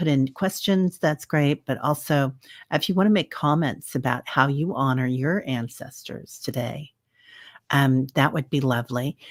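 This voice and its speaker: A woman with an American accent speaks at a fairly slow pace, her pitch very deep and low with ordinary variation. The recording is very clean with a silent background and a dry, close sound with no echo. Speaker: psychic medium. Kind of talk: casual livestream talk. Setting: livestream simulcast. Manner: hesitant, many filler sounds.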